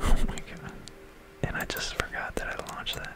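A man whispers. His pace is fairly slow. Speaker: ASMR narrator playing a game. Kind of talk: ASMR educational science narration over gameplay. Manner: whispered.

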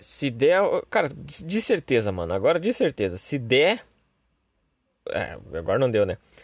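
A man with a fairly high pitch and vocal fry talks in an animated tone, his pitch swinging very widely at a fairly slow pace with long, frequent pauses. The recording is very clean, with a silent background. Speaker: gaming youtuber. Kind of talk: gameplay commentary. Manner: casual, animated.

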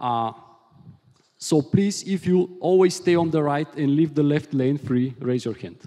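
Here a man with a Bulgarian accent talks at a fairly slow pace with ordinary pitch variation. His tone is dark and mellow, over a quiet background. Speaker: software engineer, conference speaker. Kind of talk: technical conference talk. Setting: conference stage with audience. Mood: light, joking. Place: hall. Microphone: headset.

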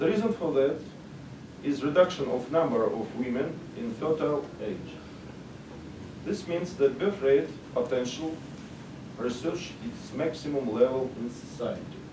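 A man with a Russian accent talks at a fairly high pitch, leaving long, frequent pauses over noticeable background noise. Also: ordinary pitch variation, fairly slow pace. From Russia, Moscow. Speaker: sociologist, conference speaker; conference presenter. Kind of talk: conference presentation; lecture. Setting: stage with audience. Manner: halting. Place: meeting room.

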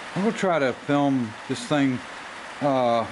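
Background noise is noticeable here. Through it, a man talks. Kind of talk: casual workshop tutorial. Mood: relaxed, easygoing. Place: workshop. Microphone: camera far.

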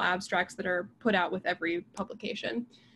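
Over light background noise, a woman with an American accent talks with fairly even intonation. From US, rural Pennsylvania. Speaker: biologist and science communicator; guest. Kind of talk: casual interview. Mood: warm, engaged. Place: home room. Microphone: video call.

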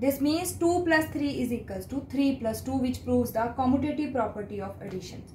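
Audible room echo and light background noise surround a woman speaking at a high pitch. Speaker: school math teacher. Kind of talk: presentation to a jury. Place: home room. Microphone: phone near.

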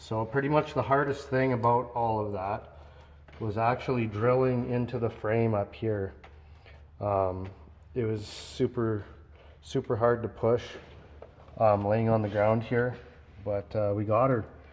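Long, frequent pauses break up a man's fairly slow speech, delivered with fairly even intonation. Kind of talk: casual build vlog walkthrough. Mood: pleased, relaxed. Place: workshop. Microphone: phone near.

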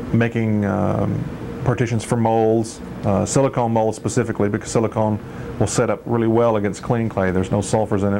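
Noticeable background noise runs under this recording. A man speaks at a fairly quick pace with fairly even intonation. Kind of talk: tutorial. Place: garage. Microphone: old recording.

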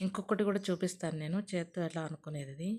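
A woman's fairly low, somewhat breathy voice with a dark, mellow tone and fairly even intonation. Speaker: cooking channel host. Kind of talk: cooking tutorial. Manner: dull, low-energy delivery.

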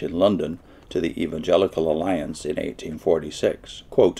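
His pitch sits very deep and low. The voice is a man's. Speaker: lecturer on religious history. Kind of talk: lecture. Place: home room. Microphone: webcam.

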